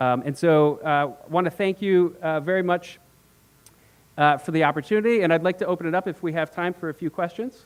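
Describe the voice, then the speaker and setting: Speaking at a fairly quick pace, a man with a high pitch uses ordinary pitch variation. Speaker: corporate representative. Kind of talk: conference talk. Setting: stage with audience. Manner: fast.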